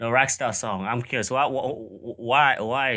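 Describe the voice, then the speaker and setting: With a Caribbean accent, a man speaks at a medium pitch in a bright, sharp tone. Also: very clean recording, silent background. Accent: Caribbean island. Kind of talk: casual reaction commentary.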